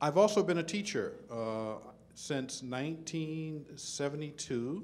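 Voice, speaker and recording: The man's voice comes with audible room echo. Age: 50s. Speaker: theoretical physicist. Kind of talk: panel talk to student audience.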